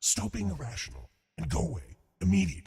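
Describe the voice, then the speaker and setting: A man uses a put-on, robotic character voice with a very deep, low pitch. He talks at a very fast pace. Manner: angry, irritated.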